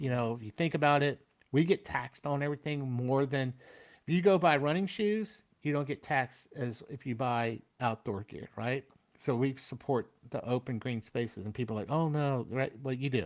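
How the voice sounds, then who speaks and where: A man's unremarkable speaking voice with an American accent, medium pitch, ordinary pitch variation and a moderate pace, in a very clean recording with a silent background. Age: 60s. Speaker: military veteran. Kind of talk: casual interview chat.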